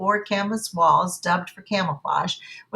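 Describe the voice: Someone is doing plain reading aloud. Their pitch changes only a little, staying fairly even.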